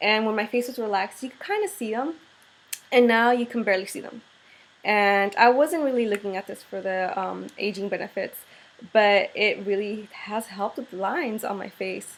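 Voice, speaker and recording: Speaking at a moderate pace, a woman with a fairly high pitch shows ordinary pitch variation and big swings in loudness. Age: 20s. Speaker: beauty product reviewer. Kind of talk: product review vlog. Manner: casual, hesitant with many fillers. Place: home room. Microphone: webcam.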